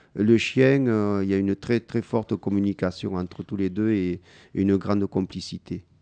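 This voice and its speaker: Against a quiet background, a man with a fairly low, dark, mellow voice speaks at a very slow pace with fairly even intonation, in a dry, close sound with no echo. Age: 50s. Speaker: blind guide-dog user. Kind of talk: interview with schoolchildren. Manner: halting, many hesitations.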